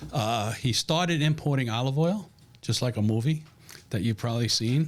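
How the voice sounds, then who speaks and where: In a New York accent, a somewhat breathy man of medium pitch talks at a moderate pace with lively intonation and very even loudness. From New York, Brooklyn (Williamsburg). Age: 60s. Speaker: restaurant family member and food company salesman. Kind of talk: casual interview chat.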